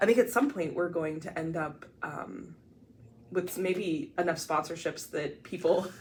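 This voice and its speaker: Someone with an American accent speaks at a fairly slow pace, with ordinary pitch variation. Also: woman, fairly low pitch for a woman. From Ohio, US Midwest (small town). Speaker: podcast co-host. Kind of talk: casual chat. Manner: loud.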